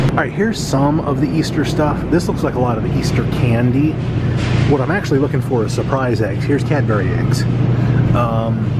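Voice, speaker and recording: Over loud background noise, a man speaks at a fairly quick pace with ordinary pitch variation. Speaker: vlogger shopping. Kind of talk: casual vlog chat. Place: shop.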